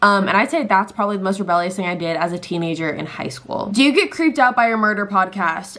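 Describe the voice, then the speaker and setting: Someone with a Californian accent talks at a very fast pace with hardly any pauses and lively intonation, over noticeable background noise. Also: woman, medium pitch for a woman. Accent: Californian American English. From Southern California. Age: 20s. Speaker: lifestyle and true crime YouTuber. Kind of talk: casual talk to camera.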